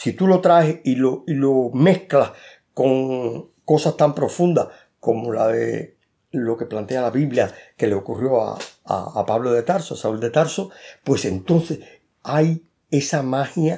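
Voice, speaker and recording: In a very clean recording with a silent background, a man speaks very slowly. His tone is dark and mellow, his intonation lively. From Cuba. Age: 70s. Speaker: author. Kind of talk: interview.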